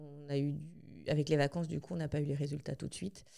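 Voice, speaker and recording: This woman has a very deep, low pitch and a dark, mellow tone. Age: 40s. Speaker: bereaved mother sharing her story. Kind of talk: testimony. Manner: halting, many hesitations.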